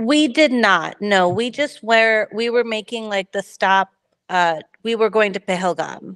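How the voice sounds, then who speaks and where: A woman with an American accent speaks at a fairly high pitch. Her pace is fairly slow, with a quiet background. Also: ordinary pitch variation. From United States, Kashmiri household. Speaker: book club member. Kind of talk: book club discussion. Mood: reflective, hopeful. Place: home room. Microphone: video call.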